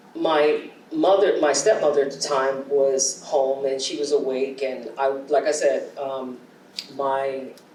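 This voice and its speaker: Audible room echo and noticeable background noise around a speaking woman. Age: 60s. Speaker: poet. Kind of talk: audience Q&A conversation. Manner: hesitant, with many fillers.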